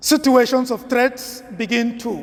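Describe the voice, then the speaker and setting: Noticeable background noise behind a man with an extremely high pitch, a Nigerian accent, and a very slow pace. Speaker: priest. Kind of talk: homily.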